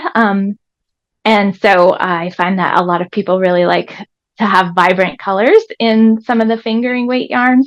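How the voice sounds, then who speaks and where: A woman with an American accent talks at a moderate pace, her pitch medium. Her intonation is fairly even against a quiet background. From Vermont, US. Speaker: sheep farmer. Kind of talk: live product presentation. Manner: hesitant, many fillers.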